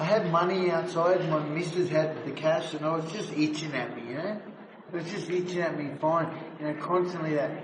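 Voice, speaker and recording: A man with an Australian accent, high-pitched and fairly quick, with fairly even intonation, audible room echo and noticeable background noise. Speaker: former addict and prison escapee. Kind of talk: interview, telling his life story. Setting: outdoors in graffiti tunnels. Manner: slurred speech at times; casual, halting.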